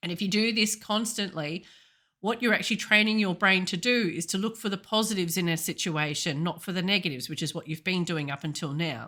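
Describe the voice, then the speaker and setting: Speaking at a very fast pace, a woman with an Australian accent has a medium pitch and a bright, sharp tone. Her pitch varies in an ordinary way. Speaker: intuitive healer and coach. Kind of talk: podcast talk.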